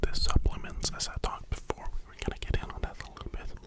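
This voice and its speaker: A man whispering at a very fast pace over noticeable background noise. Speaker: ASMR creator doing a personal trainer roleplay. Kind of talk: ASMR roleplay consultation with gym and nutrition tips. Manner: whispered, close-up, soft-spoken.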